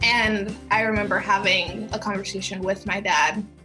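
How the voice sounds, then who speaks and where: A woman speaks in an American accent with monotone, flat intonation. Music plays in the background. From Mississippi, US. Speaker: professional dancer. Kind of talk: interview answer.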